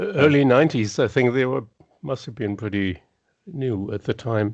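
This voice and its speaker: Lively intonation in a German accent. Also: man, medium pitch for a man, moderate pace. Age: 60s. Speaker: guitarist. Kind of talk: casual chat. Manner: halting.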